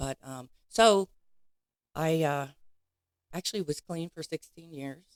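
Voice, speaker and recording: A woman at a fairly slow pace with ordinary pitch variation, in a dry, close sound with no echo. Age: 60s. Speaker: recovery advocate. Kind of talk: personal testimony interview. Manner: hesitant, many fillers.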